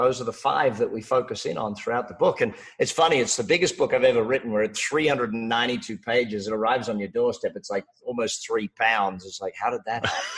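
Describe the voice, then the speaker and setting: Noticeable background noise surrounds a man talking at a very fast pace with an Australian accent. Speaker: business coach and author. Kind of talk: interview.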